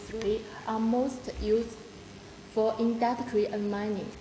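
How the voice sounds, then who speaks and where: Over noticeable background noise, a woman speaks very slowly in a monotone, flat intonation. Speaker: sales representative. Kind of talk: product presentation. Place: office. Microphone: phone near.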